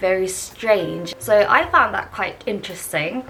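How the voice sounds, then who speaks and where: Music plays behind a woman who speaks fairly slowly with lively intonation. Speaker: vlogger and English teacher. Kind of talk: casual vlog talk to camera. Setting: sitting in front of the camera. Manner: hesitant, many fillers.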